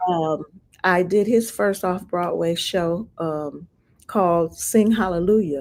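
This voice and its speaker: A woman with a fairly low pitch speaks at a very slow pace. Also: ordinary pitch variation. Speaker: singer and actress. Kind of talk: interview answer.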